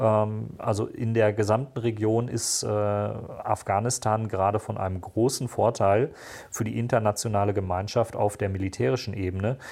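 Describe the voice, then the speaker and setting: On a very clean recording with a silent background, a man speaks at a moderate pace in a dark, mellow tone, fairly low in pitch and fairly even in intonation. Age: 40s. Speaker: security policy analyst and podcaster. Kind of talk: interview.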